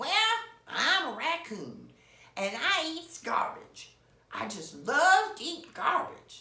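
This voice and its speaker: An extremely high-pitched, put-on character voice speaks at a very slow pace. Audible echo surrounds it. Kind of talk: bedtime story. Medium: read story.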